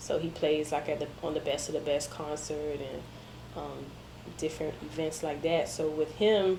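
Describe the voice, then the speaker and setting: With an American accent, a woman speaks at a moderate pace in a very deep, low pitch. Her intonation is monotone and flat, and there is audible room echo. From Miami, Florida, Jamaican family. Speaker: media interviewer and digital marketer. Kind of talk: interview conversation. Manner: casual, hesitant with many ums.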